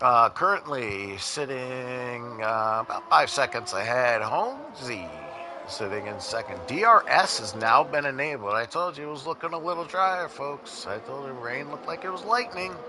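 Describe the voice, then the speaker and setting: A man at a fairly high pitch with very wide pitch swings and big swings in loudness, moderate pace, noticeable background noise. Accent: American. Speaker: esports race commentator. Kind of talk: live commentary. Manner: casual, halting with fillers.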